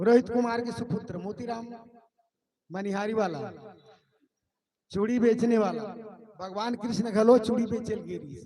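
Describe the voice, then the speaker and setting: A man's high-pitched voice at a very slow pace, with fairly even intonation, big swings in loudness, long, frequent pauses and audible room echo. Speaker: event announcer. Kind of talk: stage announcement. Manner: casual.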